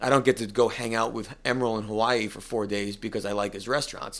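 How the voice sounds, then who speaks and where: A man's normal speaking voice, medium in pitch with ordinary pitch variation and a fairly quick pace, on a very clean recording with a silent background. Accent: American. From US Northeast, northeast Connecticut. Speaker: cigar company executive and musician. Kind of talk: interview. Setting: office.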